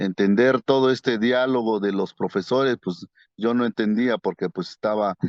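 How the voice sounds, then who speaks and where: Speaking in an Oaxacan accent, a man keeps a moderate pace, medium pitch and ordinary pitch variation. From Mazatec highlands, Oaxaca, Mexico. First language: Mazatec (speaking Spanish). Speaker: painter. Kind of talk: interview. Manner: halting, many fillers.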